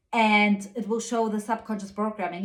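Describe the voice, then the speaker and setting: A woman at medium pitch against noticeable background noise. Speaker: spiritual guide and channeler. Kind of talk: spiritual weekly guidance monologue. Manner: soft-spoken; hesitant with frequent fillers.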